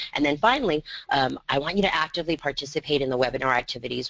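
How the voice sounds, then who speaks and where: Speaking at a very fast pace, a man with a fairly high pitch, ordinary pitch variation and vocal fry rattles on. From US Southwest, El Paso, Texas. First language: Spanish. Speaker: education consultant. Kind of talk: webinar presentation. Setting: webinar.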